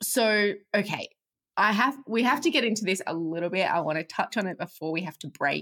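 Her tone is bright and sharp, and her intonation lively. The woman talks at a fairly quick pace. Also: medium pitch for a woman. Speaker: podcast host. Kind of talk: podcast interview.

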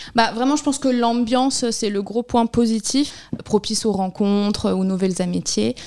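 Woman speaking with a fairly high pitch, ordinary pitch variation and hardly any pauses, over noticeable background noise. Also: moderate pace. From Barcelona, Spain. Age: 20s. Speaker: seasonal snack bar worker. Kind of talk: interview.

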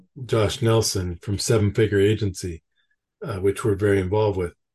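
Against a quiet background, a man with a fairly low voice sounds somewhat breathy and keeps his intonation fairly even. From Canada. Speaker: podcast host. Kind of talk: interview conversation.

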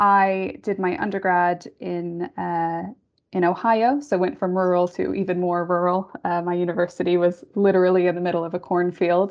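Speaking at a moderate pace with a western New York accent, a woman uses a fairly low pitch and fairly even intonation. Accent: American, western New York. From Western New York State, US. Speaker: pensions actuary. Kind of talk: casual panel conversation.

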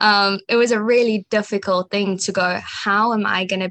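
Over a quiet background, a woman with a South African accent speaks in a monotone, flat intonation, with a dry, close sound and no echo. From South Africa, Johannesburg. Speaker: community college pre-med student. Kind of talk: interview.

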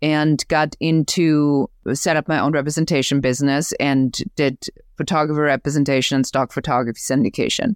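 A woman with a German accent and a very deep, low pitch, at a moderate pace with ordinary pitch variation and very even loudness, on a very clean, silent-background recording with a dry, close sound and no echo. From Germany. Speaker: business growth coach. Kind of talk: interview, casual conversation.

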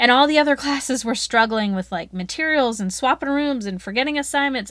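A woman speaks at a very fast pace with hardly any pauses. Her intonation is lively. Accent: Southern US. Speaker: educator podcast host, former teacher. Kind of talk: solo podcast monologue. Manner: animated.

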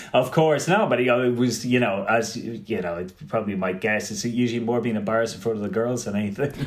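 With a Dublin accent, a man speaks at a very fast pace with hardly any pauses and ordinary pitch variation, his voice carrying audible room echo. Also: medium pitch for a man. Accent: Dublin Irish. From Ireland, Dublin. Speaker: film festival director and programmer. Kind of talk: casual interview.

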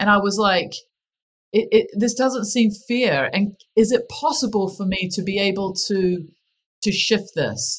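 With a New Zealand accent, a woman speaks fairly slowly at a medium pitch. Her voice is somewhat breathy, with ordinary pitch variation. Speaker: happiness strategist. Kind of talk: casual interview chat.

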